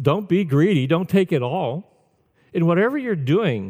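On a very clean, dry and close recording with a silent background and no echo, a man speaks at a high pitch with very wide pitch swings. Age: 70s. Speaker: pastor. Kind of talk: sermon. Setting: church. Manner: halting.

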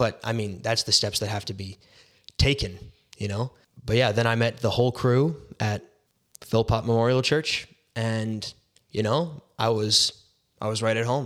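Long, frequent pauses break up this man's moderate pace. His medium pitch carries fairly even intonation. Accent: western Canadian. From Canada, Surrey, British Columbia. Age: young (19). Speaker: ministry intern. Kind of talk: testimony.

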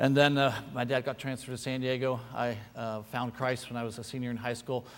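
Speaking with an American accent, a man moves at a fairly quick pace. His pitch sits in the medium range. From California, US. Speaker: missionary. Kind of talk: sermon. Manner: animated.

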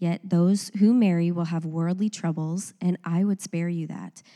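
This woman has an ordinary speaking voice with a fairly low pitch and fairly even intonation. She talks at a moderate pace, and the sound is dry and close with no echo. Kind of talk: reading aloud. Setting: church.

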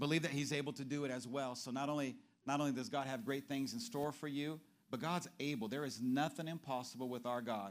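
Talking at a very fast pace, a man uses a fairly high pitch, an animated tone and ordinary pitch variation. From Brazil. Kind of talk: sermon. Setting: church.

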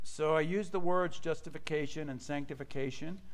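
Audible echo from the room surrounds this voice. A man talks at a moderate speed. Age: 50s. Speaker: pastor. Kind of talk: sermon.

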